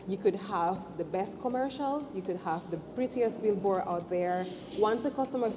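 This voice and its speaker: A woman speaks with a non-native accent. There is noticeable background noise. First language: not English. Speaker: business owner. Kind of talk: interview testimony.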